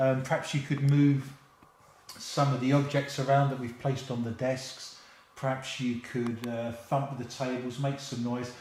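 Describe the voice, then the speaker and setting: In a London accent, a man talks at a moderate pace with medium pitch and a monotone, flat intonation. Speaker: playing a teacher.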